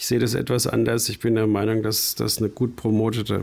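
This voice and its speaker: The voice has vocal fry and a monotone, flat intonation. It moves at a moderate pace. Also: man. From rural Bavaria. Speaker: concert promoter. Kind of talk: interview.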